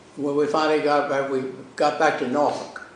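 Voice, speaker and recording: Over audible room echo, a man with an American accent speaks at a fairly slow pace and a fairly high pitch. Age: 90s. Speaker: lawyer and navy veteran. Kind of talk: oral history interview.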